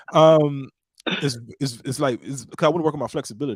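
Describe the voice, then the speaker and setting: Words come from a man at a very fast pace. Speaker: podcast host. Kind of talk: casual chat. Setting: live stream. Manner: loud.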